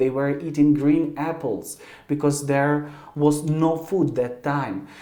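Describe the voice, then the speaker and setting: In a Ukrainian accent, the speaker goes at a fairly slow pace amid audible room echo and noticeable background noise. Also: man. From Ukraine. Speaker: YouTuber. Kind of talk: video address to camera. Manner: halting.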